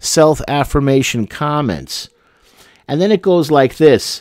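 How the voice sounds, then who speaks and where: A man's voice with ordinary pitch variation, a dry sound with no echo, and a quiet background. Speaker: commentator or teacher. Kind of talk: casual talk with a personal story. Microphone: studio mic.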